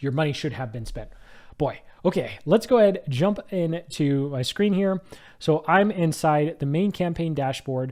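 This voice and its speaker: A man's unremarkable speaking voice, fairly high in pitch, with ordinary pitch variation and a moderate pace. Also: very clean recording, silent background. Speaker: marketing agency owner / ads trainer. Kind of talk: screen-share tutorial. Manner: casual, conversational with filler words.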